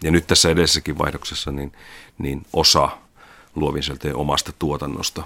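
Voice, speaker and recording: The voice has a bright, sharp tone with vocal fry. It moves at a moderate pace with fairly even intonation. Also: man. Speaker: media executive. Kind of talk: interview.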